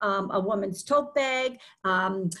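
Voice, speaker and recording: Lively intonation carries over a quiet background. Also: woman. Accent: Boston. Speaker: podcast guest, author. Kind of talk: conversational, warm.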